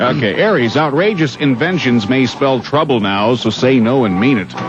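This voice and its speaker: The loudness stays very even, with lively intonation. It moves at a moderate pace over noticeable background noise. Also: man, medium pitch for a man. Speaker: radio news reader and sidekick host. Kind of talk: radio morning show banter.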